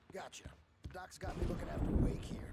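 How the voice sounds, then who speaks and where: A man puts on a raspy character voice. He talks at a fairly quick pace. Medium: video game. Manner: casual, breezy.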